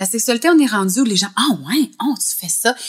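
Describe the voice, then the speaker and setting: With a Quebec accent, a woman speaks at a fairly high pitch that makes very wide swings. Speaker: libertine, podcast guest. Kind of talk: casual interview chat.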